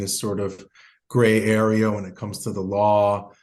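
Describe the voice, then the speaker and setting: A man talks at a fairly quick pace in a fairly low voice with a dark, mellow tone. Audible room echo surrounds the recording. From Argentina. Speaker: immigration lawyer. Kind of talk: podcast interview.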